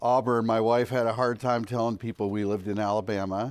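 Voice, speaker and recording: A man talks at a moderate pace in a medium pitch, his intonation fairly even. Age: 60s. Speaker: campus minister speaker. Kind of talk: conference talk.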